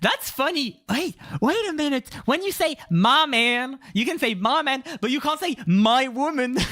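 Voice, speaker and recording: Barely pausing, a man speaks in a raised, projected voice at an extremely high pitch. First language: French. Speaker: streamer. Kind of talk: casual chat. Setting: live stream. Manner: code-switching English and French with many fillers.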